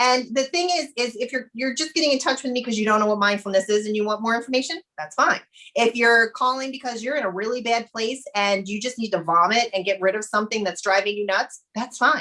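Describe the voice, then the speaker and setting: With a bright, sharp, energetic tone, a woman with fairly high pitch and ordinary pitch variation talks at a fairly quick pace with hardly any pauses. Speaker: mindfulness coach and business owner. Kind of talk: interview. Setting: podcast recording. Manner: fast.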